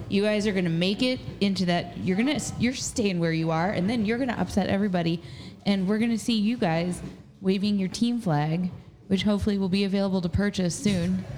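Amid noticeable background noise, a woman with an American accent talks at a fairly quick pace in a medium pitch, with ordinary pitch variation and very even loudness. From Southern Indiana, Jasper. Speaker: assistant producer and co-host. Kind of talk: casual chat. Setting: live recording in a tap room.

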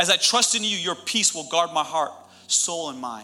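The tone is animated, and there is noticeable background noise. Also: man. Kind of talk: sermon. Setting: church with live audience. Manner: animated, loud, fervent preacher in full flow, urgent and rousing.

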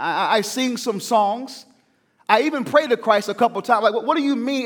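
A man with a Southern US accent, extremely high in pitch, with lively intonation and an animated tone. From US South. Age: 30s. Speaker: pastor. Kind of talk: sermon. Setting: church.

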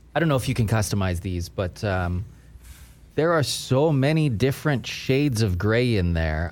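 Lively in intonation, a man speaks at a medium pitch in an ordinary speaking voice. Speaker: podcast host. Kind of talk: casual chat.

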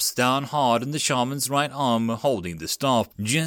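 Reading in an unforced voice

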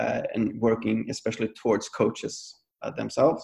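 A man speaks with a Swedish accent. His pace is moderate. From Sweden. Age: 30s. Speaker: movement coach. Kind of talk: casual chat. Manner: halting.

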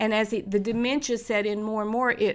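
In an East Tennessee accent, the voice has a bright, sharp tone at a moderate pace. The recording is very clean, with a silent background. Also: woman. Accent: East Tennessee Southern. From Knoxville, Tennessee (US South). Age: 60s. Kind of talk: testimony.

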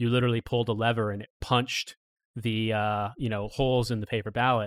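Speaking very fast at a medium pitch, a man keeps his intonation flat and monotone. The recording is very clean, with a silent background and a dry, close sound free of echo. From Indiana, US Midwest. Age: 30s. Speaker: podcast guest, political commentator. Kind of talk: casual chat.

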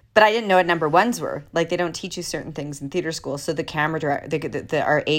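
The speaker talks at a very fast pace with ordinary pitch variation on a very clean recording with a silent background. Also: woman. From Canada, Alberta (Jasper, Canadian Rockies). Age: 40s. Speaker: actress. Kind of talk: interview.

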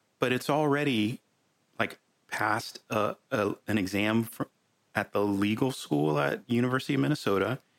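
A man with an unremarkable speaking voice talks at a moderate pace, his pitch fairly low and his intonation lively. His loudness stays very even, and the sound is dry and close, with no echo. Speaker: podcast host. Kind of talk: casual chat. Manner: informal, filler words, repeats words.

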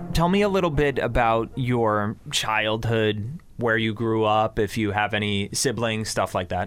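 With an American accent, a man talks in an unremarkable speaking voice at a medium pitch with ordinary pitch variation, very even loudness, a fairly slow pace and hardly any pauses. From Connecticut, Bridgeport. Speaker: podcast host. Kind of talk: interview. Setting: studio.

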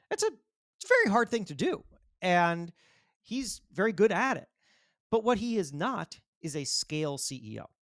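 With an American accent, a man speaks at a moderate pace in a high voice with lively intonation and long, frequent pauses, the sound dry and close with no echo. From Florida. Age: 40s. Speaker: magazine editor and author. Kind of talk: interview. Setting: remote call.

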